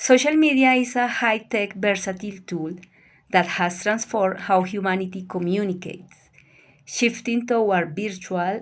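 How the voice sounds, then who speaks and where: In a Colombian accent, a woman talks at a moderate pace with ordinary pitch variation, on a very clean recording with a silent background. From Colombia, Bogotá. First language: Spanish. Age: 50s. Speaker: language student. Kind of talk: prepared presentation.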